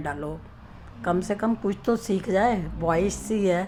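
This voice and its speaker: A woman talks while noticeable background noise sits behind her. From Punjab, Amritsar. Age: 80s+. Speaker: elderly interviewee telling her life story. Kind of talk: interview, personal reminiscence.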